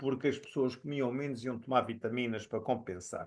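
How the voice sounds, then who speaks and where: A man talks against a quiet background. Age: 60s. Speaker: professor and physician. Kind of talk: recorded lecture. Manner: hesitant with fillers.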